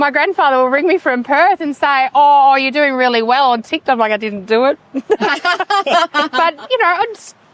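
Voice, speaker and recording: A woman's high voice with lively intonation, at a moderate pace with hardly any pauses, in a dry, close sound with no echo and noticeable background noise. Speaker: towing business owner. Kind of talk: interview. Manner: loud.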